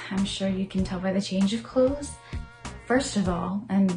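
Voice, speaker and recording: A soft-spoken woman talks over music playing in the background. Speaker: gamer and streamer. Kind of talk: casual talk to camera.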